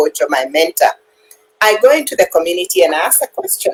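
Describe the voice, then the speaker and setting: A woman's voice sounds dry and close with no echo, with music in the background. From Kenya. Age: 60s. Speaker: retiree and digital business owner. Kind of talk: interview answer.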